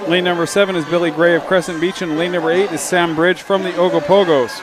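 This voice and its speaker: A man speaks very fast at a high pitch with fairly even intonation. Audible room echo and noticeable background noise surround him. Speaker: sports commentator. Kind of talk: live commentary.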